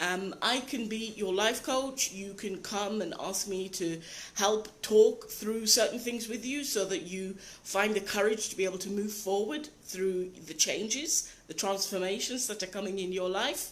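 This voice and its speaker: Someone with a British accent talks at a fairly slow pace with ordinary pitch variation, amid noticeable background noise and audible room echo. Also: woman, medium pitch for a woman. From Britain. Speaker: life coach. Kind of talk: live video talk. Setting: live video broadcast.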